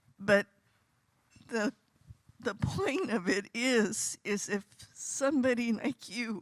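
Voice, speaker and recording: A woman is speaking. Her pitch is fairly high for a woman. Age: 70s. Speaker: audience member asking a question. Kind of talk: audience comment at panel Q&A.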